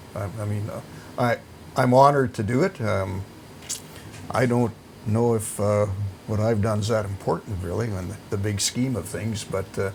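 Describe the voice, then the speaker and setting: A man in a Canadian accent at a moderate pace, amid noticeable background noise. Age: 70s. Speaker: retiring TV sportscaster. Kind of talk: interview. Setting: studio.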